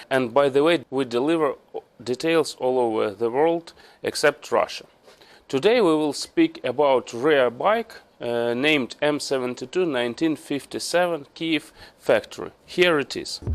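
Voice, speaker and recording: On a very clean recording with a silent background, a man with a Ukrainian accent talks at a moderate pace, his fairly high pitch showing ordinary variation. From Ukraine. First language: Ukrainian or Russian. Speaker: motorcycle restorer. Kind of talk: tutorial. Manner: halting.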